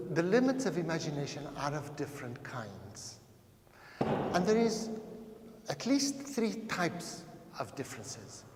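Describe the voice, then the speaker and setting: Through audible room echo and noticeable background noise, a man speaks fairly slowly in a high voice with very wide pitch swings and long, frequent pauses. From Portuguese, raised in Africa. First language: Portuguese. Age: 60s. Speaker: anthropologist, lecturer. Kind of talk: lecture.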